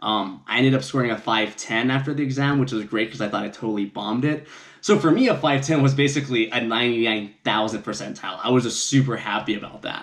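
At a fairly quick pace, a man speaks with ordinary pitch variation against a quiet background. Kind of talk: casual vlog chat. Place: home room. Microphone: camera far.

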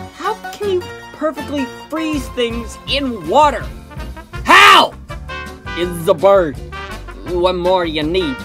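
Very slow delivery with long, frequent pauses and music in the background. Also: man. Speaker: voice actor. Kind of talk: comedic video game commentary.

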